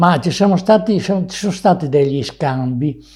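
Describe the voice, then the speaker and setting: At a moderate pace, a man speaks in a dark, mellow tone that is somewhat breathy. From Veneto, Italy. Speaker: war veteran. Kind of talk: testimony. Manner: halting.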